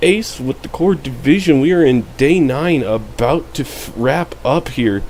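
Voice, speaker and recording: A man with a fairly high pitch, speaking at a fairly slow pace with ordinary pitch variation, over noticeable background noise. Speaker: fantasy sports league commentator. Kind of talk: casual league recap.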